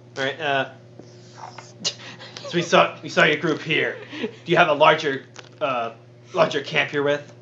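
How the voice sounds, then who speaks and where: A man's put-on character voice, gruff, whispering and growling, at a moderate pace with long, frequent pauses over clear background noise. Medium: actual play. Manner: growling, gruff whisper.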